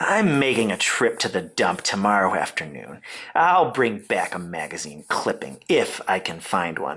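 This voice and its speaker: The speaker uses a put-on character voice, gruff and low in pitch. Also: moderate pace. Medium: read story.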